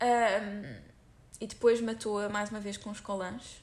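In a European Portuguese accent, the speaker uses an animated tone, ordinary pitch variation and a fairly slow pace. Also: woman. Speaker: podcast host and YouTuber. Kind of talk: casual true-crime storytelling.

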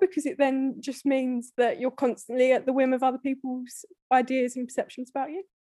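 Delivered at a fairly quick pace, the voice has a dark, mellow tone in a dry, close sound with no echo. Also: woman. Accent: British. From UK. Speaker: podcast guest. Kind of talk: casual chat.

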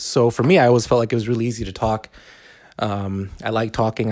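With a fairly low pitch, the man talks at a fairly quick pace. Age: 30s. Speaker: podcast host. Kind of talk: casual monologue. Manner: halting, many fillers.

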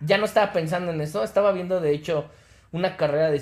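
A man talks at a very fast pace with ordinary pitch variation. His voice is somewhat breathy. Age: 40s. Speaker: podcast co-host. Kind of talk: casual chat.

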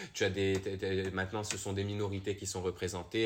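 A man talks at a very fast pace with a slight non-native accent. His pitch is very deep and low. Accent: slight foreign accent when speaking French. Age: young. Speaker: actor. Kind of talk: casual interview.

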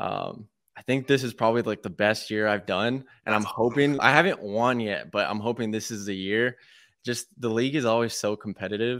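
Using a normal speaking voice, a man of medium pitch talks at a fairly quick pace with fairly even intonation. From Texas. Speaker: podcast host. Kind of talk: casual interview; podcast intro. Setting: video call.

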